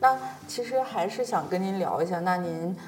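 A woman with a northern Chinese accent at a moderate pace, with audible room echo and noticeable background noise. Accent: northern Chinese dialect features. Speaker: podcast host. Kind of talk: casual interview.

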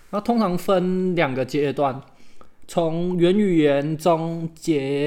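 The speaker is a man. His pitch is fairly high. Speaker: podcast co-host. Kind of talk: casual chat.

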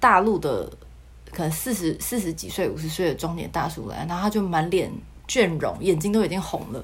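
With a Taiwanese accent, a woman talks at a fairly quick pace with lively intonation and vocal fry at a medium pitch. Audible room echo surrounds her voice. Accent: Taiwanese Mandarin. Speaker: former casino worker. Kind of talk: casual interview chat.

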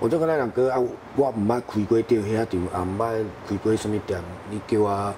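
Moderately paced male speech, fairly low in pitch, with ordinary pitch movement over noticeable background noise. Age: young. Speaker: renovation business owner. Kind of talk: interview.

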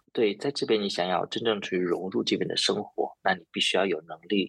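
A man at a moderate pace, dry and close, with no echo. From China. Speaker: IT project manager. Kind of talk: interview. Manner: halting, many filler sounds.

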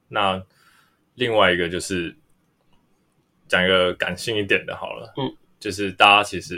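Speaking at a fairly slow pace with long, frequent pauses, a man uses a fairly low pitch, a bright, sharp tone and fairly even intonation. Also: big swings in loudness. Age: 20s. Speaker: freelance artist. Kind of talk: casual chat.

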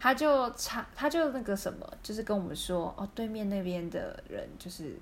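Her voice is fairly high and somewhat breathy, with lively intonation, as the woman talks at a moderate pace. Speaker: podcast co-host. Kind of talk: casual chat.

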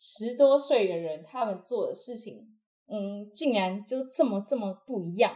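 A woman with an ordinary speaking voice talks fairly slowly at a fairly high pitch. Her intonation is lively, and her loudness swings widely. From Taiwan, Taichung. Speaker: university student and acrobat. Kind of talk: casual interview.

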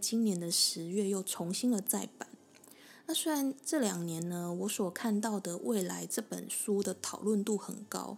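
Moderately paced, with ordinary pitch variation, the clip has an unremarkable speaking voice. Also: woman. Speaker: podcast host. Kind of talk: solo explainer monologue.

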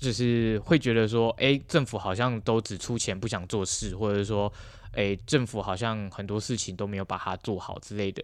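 At a moderate pace, a man with a normal speaking voice speaks in a fairly low pitch with fairly even intonation. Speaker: university student intern. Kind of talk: interview.

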